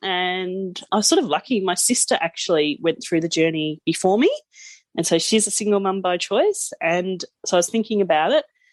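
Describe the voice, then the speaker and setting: A woman with an Australian accent speaks at a moderate pace and medium pitch, with ordinary pitch variation, over a quiet background. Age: 30s. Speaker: podcast guest, new mother. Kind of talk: casual interview chat.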